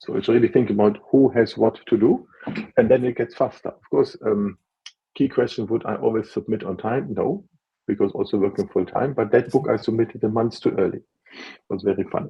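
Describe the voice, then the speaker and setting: A man with a non-native accent speaks in a somewhat breathy voice. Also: medium pitch for a man, ordinary pitch variation, fairly quick pace. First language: not English (English is his third language). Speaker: author and book consultant. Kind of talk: interview on a live video. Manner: halting, with restarts and fillers.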